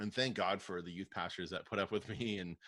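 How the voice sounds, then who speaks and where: A man with a southern Ontario accent talks at a very fast pace in a fairly low voice, his intonation fairly even, on a very clean recording with a silent background and a dry, close sound with no echo. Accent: Canadian English (southern Ontario). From Canada, Windsor, Ontario. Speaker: youth pastor. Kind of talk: casual interview.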